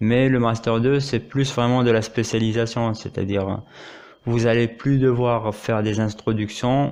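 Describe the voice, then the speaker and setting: A man with a medium pitch and fairly even intonation talks against a quiet background. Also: fairly slow pace. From Morocco. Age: 30s. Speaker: doctoral law student. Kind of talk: interview. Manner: hesitant, many fillers.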